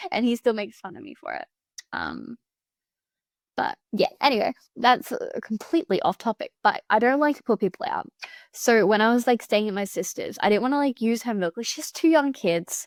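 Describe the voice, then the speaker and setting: In an Australian accent, a woman speaks at a fairly high pitch and a fairly quick pace, with lively intonation and big swings in loudness, on a very clean recording with a silent background and a dry, close sound with no echo. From Victoria, Australia. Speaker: gaming youtuber. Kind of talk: casual chat over gameplay. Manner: fast; breathless gasps.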